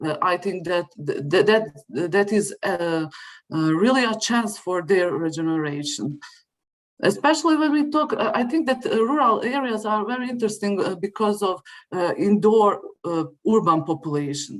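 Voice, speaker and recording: A non-native accent at a moderate pace. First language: not English. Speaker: conference presenter. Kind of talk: academic Q&A. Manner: halting, many hesitations.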